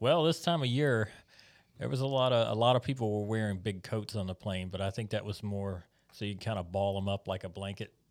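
At a fairly quick pace, a man with an American accent speaks in a fairly low pitch with ordinary pitch variation, on a very clean recording with a silent background. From United States. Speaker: missionary pastor. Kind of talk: casual chat. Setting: studio.

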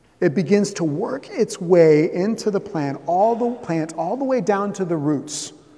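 A man with an American accent and a high pitch talks at a fairly slow pace with lively intonation. Audible room echo and noticeable background noise surround him. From US South, Southeast Florida. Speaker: pastor. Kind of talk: sermon.

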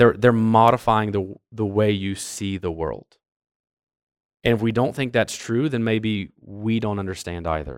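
On a very clean recording with a silent background, a man with an unremarkable speaking voice talks at a fairly low pitch with ordinary variation. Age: 30s. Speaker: church youth pastor teaching a parents' class. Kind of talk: church class lecture. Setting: church classroom with audience.

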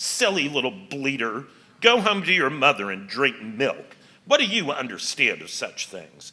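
A man puts on a character voice, fairly high in pitch and hissing. He moves at a moderate pace with very wide pitch swings. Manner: hissing, contemptuous, scornful.

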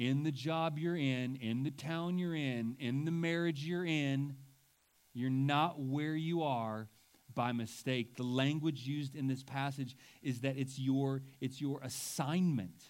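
A man's normal speaking voice, fairly high in pitch and fairly slow, with fairly even intonation and very even loudness. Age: 40s. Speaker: pastor. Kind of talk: sermon.

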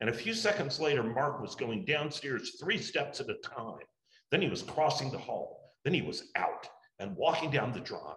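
This man has an unremarkable speaking voice. He moves at a moderate pace with lively intonation. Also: fairly high pitch for a man. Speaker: church class teacher leading a book study. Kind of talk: class lecture with prayer, then literary audiobook-style reading of the novel. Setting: church classroom with a group. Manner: measured, warm, formal teaching tone; during novel reading: steady, narrative, expressive storyteller cadence.

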